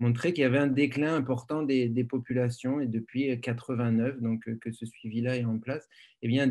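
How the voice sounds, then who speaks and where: Over a quiet background, a man speaks at a moderate pace with a medium pitch. His tone is dark and mellow, his intonation monotone and flat. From France. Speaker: biology professor. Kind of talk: lecture. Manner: halting, many fillers.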